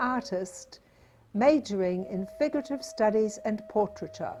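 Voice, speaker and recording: A woman with a New Zealand accent, fairly high-pitched, at a fairly slow pace with lively intonation, over noticeable background noise. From New Zealand, King Country / Waikato. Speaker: artist and teacher. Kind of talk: scripted narration.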